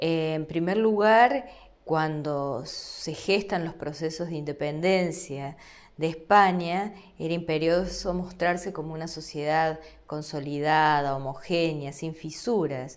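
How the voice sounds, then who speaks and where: Speaking very slowly with a very deep, low pitch, a woman shows ordinary pitch variation against audible room echo. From Argentina. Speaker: law lecturer. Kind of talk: lecture.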